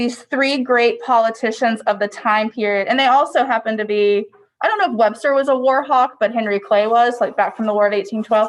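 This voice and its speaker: At a moderate pace, a woman talks in an unremarkable speaking voice. Her pitch is fairly high with ordinary variation. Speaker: history teacher. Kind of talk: lecture. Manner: casual, filler-heavy.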